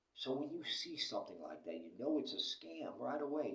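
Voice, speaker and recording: A man with an American accent speaks at a fairly slow pace amid audible room echo. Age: 60s. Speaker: vlogger. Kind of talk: casual monologue. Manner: animated.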